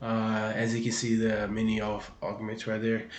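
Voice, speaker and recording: Audible room echo around a man talking at a moderate pace. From Brazil. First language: Portuguese. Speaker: gaming video creator. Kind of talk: gaming tutorial. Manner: hesitant, many fillers and repeats.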